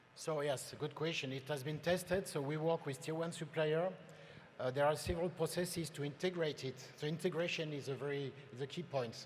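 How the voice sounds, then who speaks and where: A man with a fairly high pitch speaks with a French accent. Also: fairly even intonation. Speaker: industry presenter. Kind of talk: conference presentation.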